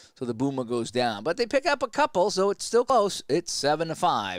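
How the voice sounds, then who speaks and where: Moderate-paced speech from a man with a Boston accent, in a very clean recording with a silent background. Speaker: sports play-by-play announcer. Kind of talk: simulated game play-by-play with casual asides. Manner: casual, halting with repeated words.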